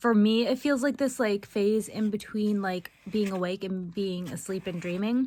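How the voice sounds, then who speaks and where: At a moderate pace, a woman speaks fairly high in pitch with ordinary pitch variation. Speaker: vlogger. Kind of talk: casual chat.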